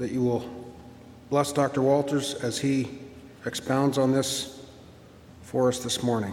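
Noticeable background noise behind a man's medium-pitched, monotone, flat delivery, fairly slow and full of long, frequent pauses. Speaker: worship leader. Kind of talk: prayer and scripture reading. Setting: church.

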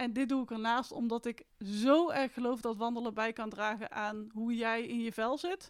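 A woman with a plain, everyday voice, fairly high in pitch, at a moderate pace with fairly even intonation and hardly any pauses. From Netherlands, North Brabant (Etten-Leur). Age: 30s. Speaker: mindful walking coach and hiker. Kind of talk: casual interview conversation.

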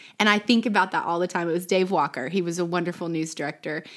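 In an American accent, a woman speaks with an ordinary speaking voice at a medium pitch. Her pitch varies in an ordinary way, and the recording is very clean with a silent background. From Texas, Plano (Dallas area). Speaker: former TV news anchor and influencer. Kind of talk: casual interview chat.

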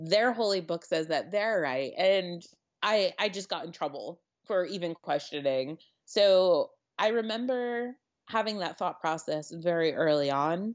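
This woman has an ordinary speaking voice with a medium pitch. Her intonation is lively. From Connecticut. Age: 30s. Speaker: wedding photographer. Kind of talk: casual chat.

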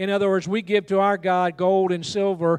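A high-pitched man with a Southern US accent, against a quiet background with a dry, close sound and no echo. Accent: Southern US (Georgia). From US South, Georgia. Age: 60s. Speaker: pastor and missions leader. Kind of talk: sermon. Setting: church with congregation.

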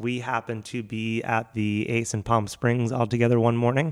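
A man with an American accent speaks at a moderate pace in a medium pitch, on a very clean recording with a silent background. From Philadelphia, US. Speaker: event venue producer and comedian. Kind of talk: casual chat.

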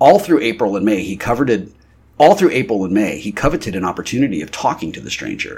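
The text is read aloud. The reading is plain.

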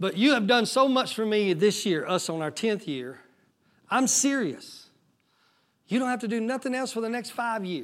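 This man talks at a moderate pace in a high pitch, his tone animated and his intonation lively. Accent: Southern US. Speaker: pastor. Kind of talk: sermon. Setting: church.

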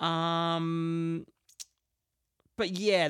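An Australian-accented man talks in a high voice. The sound is dry and close with no echo, and the recording is very clean over a silent background. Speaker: podcast host and musician. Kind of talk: casual solo podcast monologue. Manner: rambling, hesitant with fillers.

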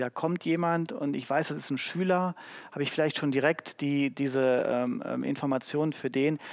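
A man's ordinary speaking voice, fairly high in pitch with ordinary pitch variation, at a moderate pace on a very clean recording with a silent background. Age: 40s. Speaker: HR marketing manager. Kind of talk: live panel talk. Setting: stage with audience.

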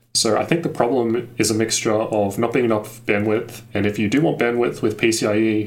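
In an Australian accent, a man with a fairly low pitch speaks with fairly even intonation, and audible room echo surrounds his voice. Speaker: tech YouTuber. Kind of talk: casual chat.

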